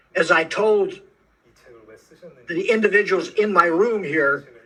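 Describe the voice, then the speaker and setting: A man's raised, projected voice, high-pitched and bright with a sharp tone, with an American accent, ordinary pitch variation and a very slow pace. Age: 80s+. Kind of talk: interview. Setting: video call.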